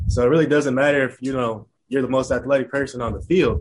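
A man's very fast, monotone delivery with flat intonation and an American accent. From Chicago suburbs, Illinois. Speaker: professional baseball player. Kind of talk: interview. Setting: video call.

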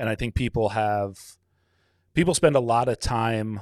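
A plain, everyday voice: a man, fairly low in pitch, at a moderate pace with ordinary pitch variation, dry and close with no echo, on a very clean recording with a silent background. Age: 40s. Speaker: business owner and podcaster. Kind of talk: casual chat.

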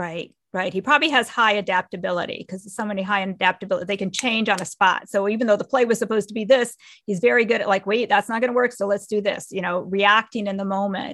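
Against a quiet background, a woman talks at a very fast pace with hardly any pauses and ordinary pitch variation. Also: medium pitch for a woman, big swings in loudness. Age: 50s. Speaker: strengths coach. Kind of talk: interview.

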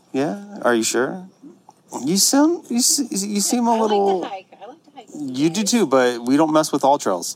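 Against noticeable background noise, a man talks at a fairly slow pace in a high pitch, his voice swinging very widely up and down. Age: 40s. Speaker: podcast host. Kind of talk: casual chat. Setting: on location. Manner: animated.

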